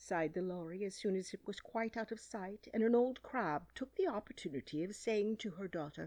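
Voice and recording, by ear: The speaker is reading aloud in a natural voice, and the pitch varies in an ordinary way.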